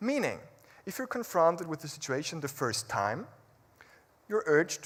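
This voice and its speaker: This man has a fairly high pitch and a non-native accent. His voice makes very wide pitch swings. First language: not English. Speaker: public speaker. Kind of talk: motivational talk.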